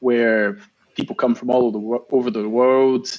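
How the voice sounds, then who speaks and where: A man speaks at a medium pitch in a Scottish accent. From Scotland. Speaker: marathon swimmer. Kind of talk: interview answer.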